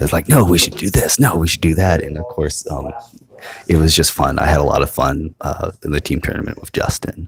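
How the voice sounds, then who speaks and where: A soft-spoken man with a very deep, low pitch, ordinary pitch variation, and a fairly quick pace, set against noticeable background noise. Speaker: tabletop game commentator. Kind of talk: live commentary. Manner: soft-spoken, quiet.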